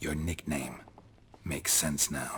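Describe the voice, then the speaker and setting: In a put-on character voice, a man delivers a deadpan tone at a very deep, low pitch. Clear background noise runs beneath him. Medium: video game. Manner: terse, deadpan.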